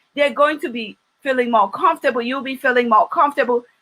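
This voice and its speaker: A woman speaks in a high pitch with lively intonation. Her tone is bright, sharp and animated. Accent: Nigerian. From Nigeria, Ondo City. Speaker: business trainer. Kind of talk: training talk.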